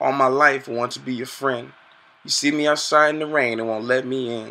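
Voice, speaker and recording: With fairly even intonation, a man of medium pitch talks at a moderate pace. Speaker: poet. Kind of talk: spoken word poem. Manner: rhythmic, pleading, emotional delivery. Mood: hurt, plaintive. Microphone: webcam.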